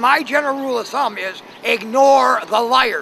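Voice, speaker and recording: A man talks in a raised, projected voice at a fairly slow pace. Noticeable background noise runs behind him. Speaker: homeless man. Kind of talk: street interview. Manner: hesitant, many filler sounds.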